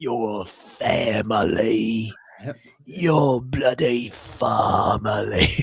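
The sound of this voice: Using a put-on character voice with an English accent, a man talks at a very slow pace. The voice is raspy and medium in pitch.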